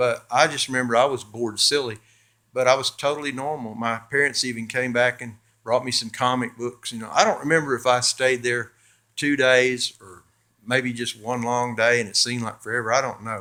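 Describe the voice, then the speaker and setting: In a very clean recording with a silent background, a man with an American accent speaks at a fairly quick pace and medium pitch, his tone bright and sharp, his intonation monotone and flat, his loudness swinging widely. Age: 60s. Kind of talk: testimony. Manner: halting, many fillers and repeats; casual, conversational.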